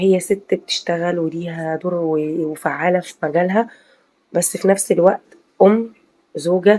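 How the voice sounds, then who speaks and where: A woman with an Egyptian accent speaks at a medium pitch with fairly even intonation. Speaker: video commentator, housewife vlogger. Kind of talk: casual video commentary. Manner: hesitant, many fillers.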